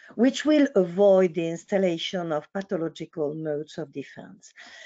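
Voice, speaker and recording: Speaking with a French accent, a woman uses a medium pitch and lively intonation at a fairly slow pace. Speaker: psychoanalyst. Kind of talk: lecture. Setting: online webinar.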